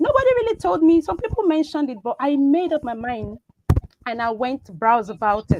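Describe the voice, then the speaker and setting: A woman's high-pitched voice with a Nigerian accent, very wide pitch swings, big swings in loudness and a fairly quick pace. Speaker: biomedical scientist. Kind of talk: talk show interview. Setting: live online show.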